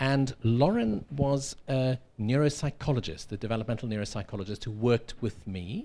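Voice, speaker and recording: A man with a South African accent, medium pitch and a dark, mellow tone, at a moderate pace with hardly any pauses. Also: ordinary pitch variation. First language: Afrikaans. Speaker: professor. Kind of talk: lecture.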